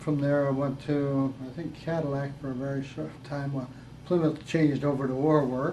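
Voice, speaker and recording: A man with an American accent at a fairly high pitch, moderate pace and monotone, flat intonation, with audible room echo and noticeable background noise. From US Midwest, Detroit, Michigan. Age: 80s+. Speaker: war veteran. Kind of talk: interview. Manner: halting.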